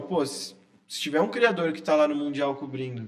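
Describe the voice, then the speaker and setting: A man with lively intonation at a fairly quick pace. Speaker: sports journalist. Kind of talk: casual interview chat. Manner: quiet-spoken at times.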